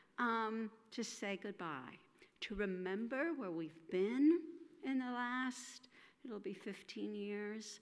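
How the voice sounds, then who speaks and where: The speaker goes at a very slow pace with lively intonation. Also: woman, fairly high pitch for a woman. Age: 60s. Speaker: minister. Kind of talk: speech. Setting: congregational meeting in church. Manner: halting.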